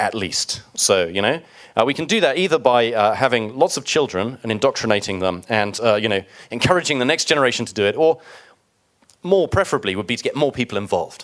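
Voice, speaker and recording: The man's voice sits at medium pitch with lively intonation. He races along at a very fast pace. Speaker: software developer presenter. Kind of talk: conference talk.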